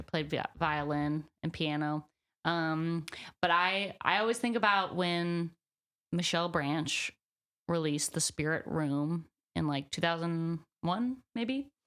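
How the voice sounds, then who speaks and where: Someone with a plain, everyday voice and an American accent speaks at a fairly slow pace in a very clean recording with a silent background. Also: woman. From US South, Birmingham, Alabama. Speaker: singer-songwriter. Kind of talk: interview. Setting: on camera interview. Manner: casual, many fillers.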